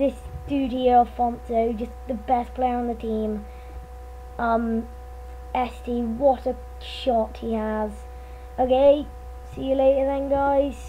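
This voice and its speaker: A woman speaks at a very slow pace with long, frequent pauses. Noticeable background noise sits behind her voice. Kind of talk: casual video game commentary.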